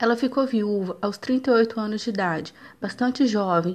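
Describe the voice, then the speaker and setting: This woman has an ordinary speaking voice, fairly high in pitch, and talks at a moderate pace. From Brazil, Minas Gerais (Juiz de Fora). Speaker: university student. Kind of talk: student presentation, scripted narration.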